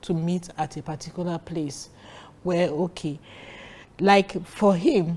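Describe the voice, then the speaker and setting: Speaking at a very slow pace with a Nigerian accent, a woman has a fairly low pitch and a dark, mellow tone. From Nigeria, Warri. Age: 60s. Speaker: guest sharing her marriage story. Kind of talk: interview. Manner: animated.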